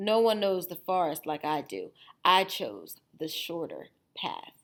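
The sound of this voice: Using a put-on character voice, a woman speaks at a fairly low pitch with big pitch swings and a fairly slow pace.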